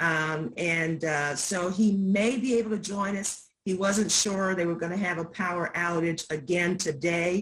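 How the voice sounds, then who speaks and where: A woman with an American accent speaks in an ordinary speaking voice, her fairly low pitch moving with ordinary variation. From US South, rural Virginia. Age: 60s. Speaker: community presenter. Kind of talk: event introduction.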